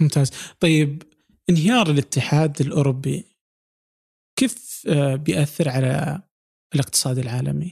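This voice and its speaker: Somewhat breathy and fairly high-pitched, a man speaks at a fairly slow pace with long, frequent pauses and ordinary pitch variation, on a dry, close recording with no echo. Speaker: podcast host. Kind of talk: interview. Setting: recording from home.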